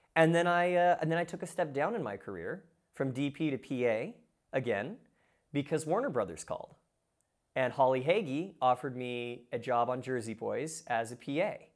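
A man speaks at a moderate pace with a fairly high pitch. He has an ordinary speaking voice. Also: lively intonation. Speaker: filmmaker. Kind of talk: casual interview chat. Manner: casual, filler-heavy.

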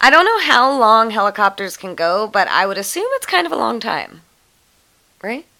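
Bright and sharp in tone, a woman speaks at a fairly high pitch with lively intonation and big swings in loudness. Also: moderate pace. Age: 20s. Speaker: true crime podcast co-host. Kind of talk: reading aloud; casual chat.

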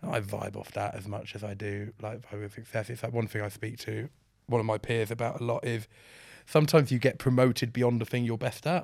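Against a silent background in a very clean recording, a man talks at a fairly quick pace in a medium pitch. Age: 30s. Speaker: creative director. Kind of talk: casual chat. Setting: studio. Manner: animated.

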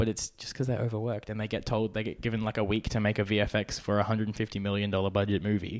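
In an Australian accent, a man with a fairly low pitch talks at a very fast pace with hardly any pauses and a monotone, flat intonation, on a very clean recording with a silent background. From Brisbane, Australia. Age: young. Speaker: documentary filmmaker and YouTuber. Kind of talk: casual interview.

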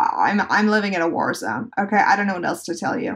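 Here a woman speaks at a fairly high pitch with ordinary pitch variation. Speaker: podcast host. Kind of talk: casual solo podcast talk. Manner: low energy.

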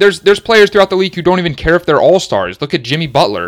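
A man talks with an American accent and vocal fry. The sound is dry and close, with no echo. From Dallas, Texas. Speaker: sports podcast host. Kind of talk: solo sports commentary podcast.

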